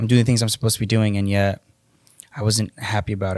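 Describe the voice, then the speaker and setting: A man's fairly low, monotone, flat voice on a very clean recording with a silent background. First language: Spanish. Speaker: electrician and fatherhood coach. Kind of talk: podcast interview, personal testimony.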